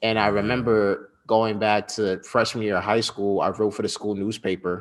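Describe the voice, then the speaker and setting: A man with an American accent uses a normal speaking voice, fairly low in pitch, at a fairly quick pace against a quiet background. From US Northeast, Westchester County, New York. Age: 20s. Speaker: journalist and entrepreneur. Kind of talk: interview. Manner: casual.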